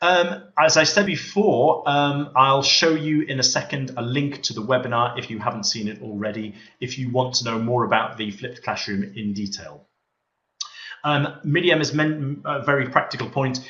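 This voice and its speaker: A man with a Liverpool accent and audible room echo. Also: medium pitch for a man, ordinary pitch variation, moderate pace. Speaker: teacher and textbook author. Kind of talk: webinar presentation. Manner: hesitant fillers.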